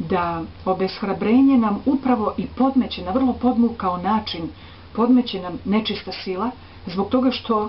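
A woman is speaking at a moderate pace. Her pitch variation is ordinary. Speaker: presenter. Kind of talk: spiritual talk to camera. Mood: calm, earnest. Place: home room. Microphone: webcam.

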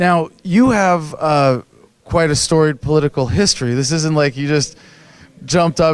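A man's fairly high voice, dry sound with no echo. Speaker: political activist video host. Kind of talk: interview. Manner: halting. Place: home room. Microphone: handheld.

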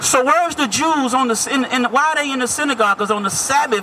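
Over light background noise, a man speaks in a raised, projected voice at an extremely high pitch, animated in tone with lively intonation. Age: 30s. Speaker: street preacher. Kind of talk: street debate. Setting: outdoors. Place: street.

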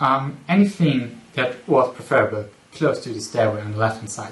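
A man's medium-pitched voice with ordinary pitch variation and audible room echo

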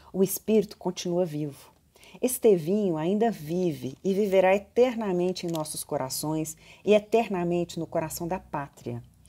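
A woman speaks in a dark, mellow tone with a fairly low pitch. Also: ordinary pitch variation, moderate pace. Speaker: video blogger and professor. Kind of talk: family storytelling, reverent tribute, reading aloud a eulogy. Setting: indoors at home in a hallway. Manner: warm, affectionate, measured, solemn when reading the old speech. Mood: solemn, tender. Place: office. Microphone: phone near.

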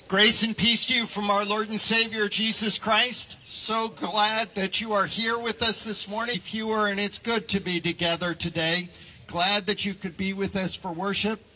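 With hardly any pauses, a man talks at a moderate pace in a raised, projected voice and fairly even intonation. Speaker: pastor leading worship. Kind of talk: welcome and announcements. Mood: warm, friendly. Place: open country. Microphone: headset.

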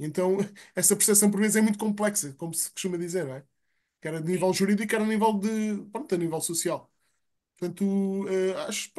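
Pitched high, a man's voice holds a fairly even intonation. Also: quiet background. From Portugal. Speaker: seminar participant. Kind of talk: online seminar discussion. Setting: video call. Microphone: video call.

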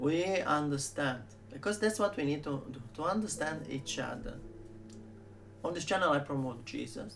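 With vocal fry and lively intonation, a man speaks at a moderate pace and fairly high pitch, taking long, frequent pauses amid noticeable background noise. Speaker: video channel host / vlogger. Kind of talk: casual direct-to-camera vlog intro. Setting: video channel. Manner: warm, enthusiastic, fillers. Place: home room. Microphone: webcam.

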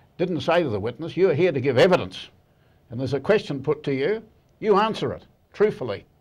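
A man with a New Zealand accent, very wide pitch swings and a fairly quick pace over a quiet background. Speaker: barrister, legal commentator. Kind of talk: TV interview. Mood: measured, firm opinion. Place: studio. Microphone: lapel.

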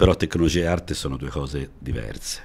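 A man speaks at a moderate pace with a very deep, low pitch. His tone is dark and mellow, with vocal fry. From Italy, Milan-Sicilian family, born in Florence. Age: 60s. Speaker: TV shopping salesman. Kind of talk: podcast interview. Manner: hesitant, with fillers. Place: studio. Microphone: studio mic.

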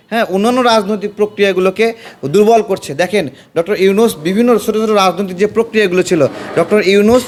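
Over noticeable background noise, a man with a high pitch speaks in an animated tone. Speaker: political commentator. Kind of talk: political speech.

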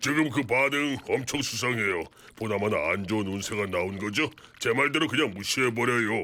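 A cartoonish character voice from a man, medium in pitch. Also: fairly quick pace. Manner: polite, reasonable.

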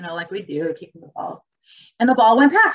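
Fairly quick pace from a woman with a fairly high pitch, over light background noise. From Germany. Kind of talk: keynote presentation in webinar. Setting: video webinar. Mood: earnest, personal storytelling. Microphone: webcam.

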